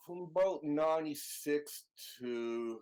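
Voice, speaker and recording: A man with a Canadian accent has an ordinary speaking voice, a fairly high pitch and lively intonation. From Canada. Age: 60s. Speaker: video game translator. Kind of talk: interview.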